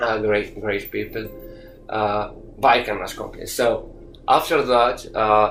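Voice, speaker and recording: A man speaks at a fairly slow pace with long, frequent pauses. Room echo is audible, and music plays in the background. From Morocco. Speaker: youth soccer coach and former player. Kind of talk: interview. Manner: halting, many fillers and repetitions.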